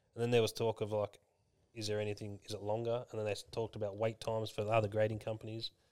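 A very fast, monotone, flat-intoned man with a fairly low pitch and an Australian accent. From Victoria, Australia. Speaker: general manager, co-host.

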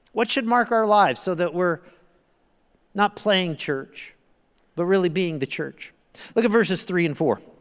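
A man talks at a moderate pace with ordinary pitch variation and long, frequent pauses. The recording is very clean, with a silent background. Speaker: guest pastor. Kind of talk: sermon. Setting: church with congregation.

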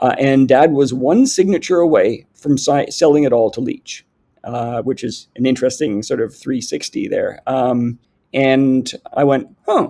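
At a fairly slow pace, a man speaks with a Canadian accent. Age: 50s. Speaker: company CEO. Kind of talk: interview.

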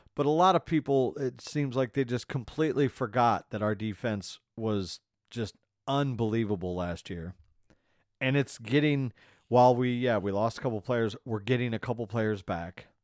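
A man talks in an unremarkable speaking voice at a medium pitch, with ordinary pitch variation. The sound is dry and close, with no echo. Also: moderate pace. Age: 40s. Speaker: podcast host. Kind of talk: casual chat.

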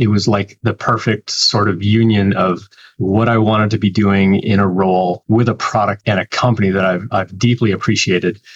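A man with a Canadian accent, flat monotone delivery, hardly any pauses, very even loudness, and a dry, close sound with no echo. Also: fairly low pitch for a man, moderate pace. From Canada. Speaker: developer relations professional. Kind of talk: interview.

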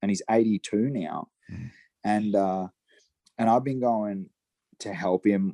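Recorded very cleanly against a silent background, a man with an Australian accent has a dark, mellow tone in a dry, close sound with no echo. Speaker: horse trainer and saddle maker. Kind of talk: casual interview chat.

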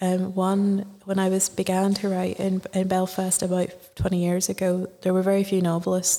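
Speaking with a Northern Irish accent, a woman has a dark, mellow tone at medium pitch and a moderate pace. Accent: Northern Irish (Ulster). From Northern Ireland. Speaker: novelist. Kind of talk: interview. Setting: festival radio studio.

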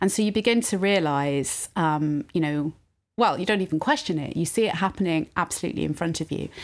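A woman with a British accent speaks at a fairly quick pace in a very clean recording with a silent background. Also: fairly low pitch for a woman, ordinary pitch variation. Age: 40s. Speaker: university provost. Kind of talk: interview.

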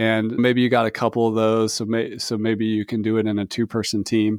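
Recorded very cleanly with a silent background, a man talks in a normal speaking voice at a medium pitch and moderate pace. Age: 40s. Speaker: software company co-founder. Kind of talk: interview.

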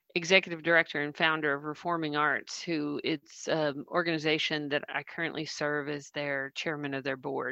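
A woman with a Southern US accent talks at a moderate pace in a very deep, low voice with a bright, sharp tone, sounding dry and close with no echo against a quiet background. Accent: Southern American. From US South. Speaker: coach and social worker. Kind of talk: casual book discussion. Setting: video call. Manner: animated.

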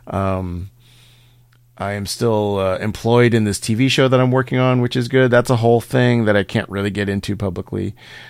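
A man talks at a moderate pace with fairly even intonation in a normal speaking voice. The recording is very clean and the background silent. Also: fairly low pitch for a man. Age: 50s. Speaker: podcast host and comedian. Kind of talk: solo monologue; casual chat.

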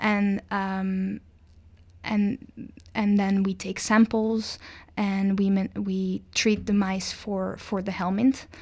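At a very slow pace, a woman of medium pitch speaks in a monotone, flat intonation on a very clean recording with a silent background. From Netherlands. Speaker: PhD student in microbiology. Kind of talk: interview. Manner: halting, many repetitions and fillers.

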